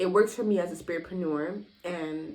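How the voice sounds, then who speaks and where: A woman with a plain, everyday voice, fairly low in pitch, at a moderate pace with an American accent. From US South, Miami. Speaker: lifestyle vlogger and entrepreneur. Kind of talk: casual vlog monologue.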